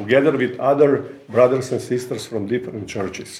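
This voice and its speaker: Moderately paced male speech, noticeable background noise and room echo audible around it. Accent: Croatian. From Croatia, Rijeka. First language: Croatian (speaking Polish). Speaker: visiting preacher, ministry representative. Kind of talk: sermon. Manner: halting.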